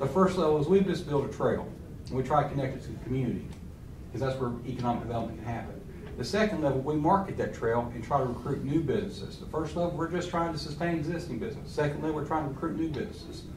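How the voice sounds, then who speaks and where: A man with an Appalachian accent speaks at a very fast pace, his pitch fairly high with ordinary variation. Noticeable background noise and audible room echo fill the recording. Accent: Appalachian Southern US. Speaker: trail organization representative. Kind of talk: public meeting presentation. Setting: county board meeting.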